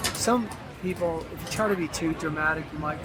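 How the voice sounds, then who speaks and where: A man with a fairly high voice goes at a moderate speed, his pitch moving in an ordinary way, while the room echoes audibly and noticeable noise sits behind him. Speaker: lawyer and singer. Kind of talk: casual chat. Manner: projects voice well.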